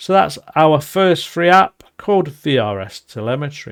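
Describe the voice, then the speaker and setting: The speaker has a Nottinghamshire accent. The recording is very clean, with a silent background. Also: man. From England, Nottinghamshire. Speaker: podcast host. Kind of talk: podcast monologue.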